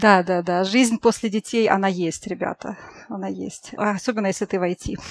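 A woman's ordinary speaking voice, medium in pitch, at a moderate pace with fairly even intonation. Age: 30s. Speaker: project manager. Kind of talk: casual chat.

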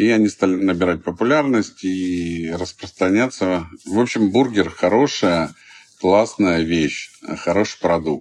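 Very deep and low, a man's voice moves at a very slow pace. His loudness stays very even, with ordinary pitch variation. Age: 50s. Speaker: entrepreneur, fast food chain founder. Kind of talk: interview. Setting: studio.

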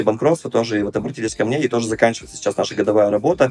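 Over music in the background, a man talks at medium pitch with fairly even intonation. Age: 30s. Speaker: entrepreneur and business advisor. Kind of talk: interview. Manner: hesitant, with fillers.

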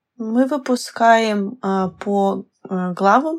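Lively intonation in a medium-pitched female voice. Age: 20s. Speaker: visual novel scriptwriter. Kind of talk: casual podcast interview.

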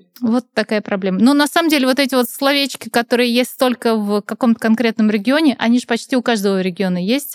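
A woman's fairly high voice at a very fast pace, with ordinary pitch variation and a dry, close sound with no echo. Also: hardly any pauses. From Russia, Nizhny Novgorod. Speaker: author and communication trainer. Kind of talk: casual chat.

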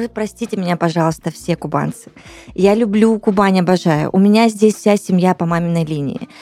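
Noticeable background noise sits behind this woman. She talks at a moderate pace with ordinary pitch variation. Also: medium pitch for a woman. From Russian Far East, Blagoveshchensk. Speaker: radio host. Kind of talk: casual chat. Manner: animated.

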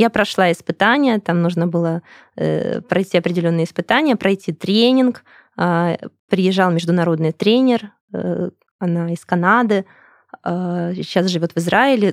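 A woman speaks at a moderate pace with a fairly low pitch and ordinary pitch variation. Her speech has long, frequent pauses. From Russia, Krasnodar. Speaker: business owner, English school director. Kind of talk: interview.

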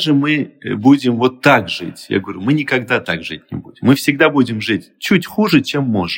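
A man talks at medium pitch and a moderate pace. His voice has vocal fry and very wide pitch swings. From Azerbaijan, Soviet Union. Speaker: entrepreneur and expert guest. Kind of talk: interview, expert conversation.

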